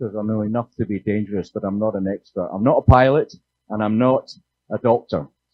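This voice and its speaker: A man with a Scottish accent, a fairly low pitch, fairly even intonation and a fairly quick pace. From Scotland. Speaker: panel moderator. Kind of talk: panel moderation. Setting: conference stage with audience.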